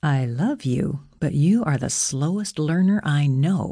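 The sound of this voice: A woman performs a put-on character voice that is low, dark and mellow, with a slightly husky edge, lively intonation and a fairly slow pace. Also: very clean recording, silent background.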